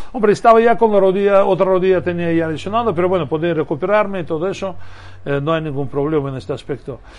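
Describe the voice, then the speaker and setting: A man's high-pitched voice at a very fast pace over noticeable background noise. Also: ordinary pitch variation. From Russia (Moscow, Soviet Union). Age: 50s. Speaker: former basketball player. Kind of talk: interview. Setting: radio studio. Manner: halting.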